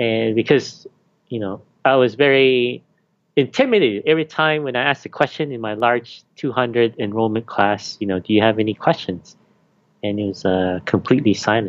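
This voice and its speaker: Here is a plain, everyday voice from a man at medium pitch. He keeps a moderate pace with ordinary pitch variation. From Canada. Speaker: university teaching fellow. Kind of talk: interview.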